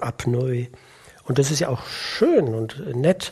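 A man is speaking at medium pitch. His pitch varies in an ordinary way. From Germany, Siegerland. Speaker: orchestra percussionist and timpanist. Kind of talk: casual interview chat.

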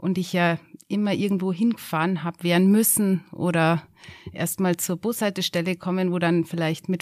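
A woman talks at a fairly quick pace in a medium pitch, with monotone, flat intonation. The recording is very clean, with a silent background. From Upper Bavaria, Garmisch-Partenkirchen district. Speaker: mountain hut operator. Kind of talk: casual chat. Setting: mountain hut.

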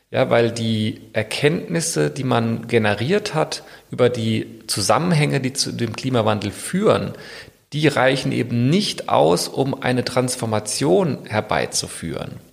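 Noticeable background noise sits behind a man speaking. He uses lively intonation at a fairly slow pace. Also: medium pitch for a man. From Rhine-Main area, Hanau near Frankfurt. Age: 40s. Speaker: climate researcher, professor. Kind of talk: interview. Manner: halting, many fillers and repetitions.

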